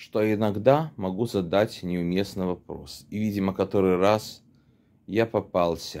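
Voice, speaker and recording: This man speaks at a very slow pace. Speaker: storyteller acting out a dialogue. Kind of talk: casual vlog storytelling with role-play. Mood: ironic, mildly annoyed. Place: home room. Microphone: phone near.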